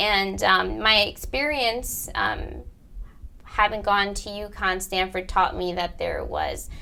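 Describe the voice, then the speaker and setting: Noticeable background noise fills the recording. Over it, a woman speaks very slowly. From Bridgeport, Connecticut. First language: Spanish. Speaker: college counselor. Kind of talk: interview.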